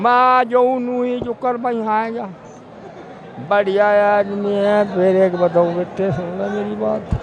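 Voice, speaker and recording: Over crowd noise in the background, a man with a western Uttar Pradesh accent talks at a high pitch with ordinary pitch variation and long, frequent pauses. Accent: rural western UP Haryanvi-like dialect. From western Uttar Pradesh, Shamli area. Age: 80s+. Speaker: farmer. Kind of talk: street interview. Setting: outdoors at a political rally.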